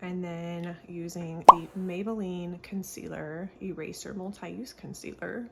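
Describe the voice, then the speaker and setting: A soft-spoken woman talks fairly slowly with hardly any pauses. Her fairly low voice stays monotone and flat in intonation. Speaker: beauty vlogger. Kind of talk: get-ready-with-me tutorial. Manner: casual.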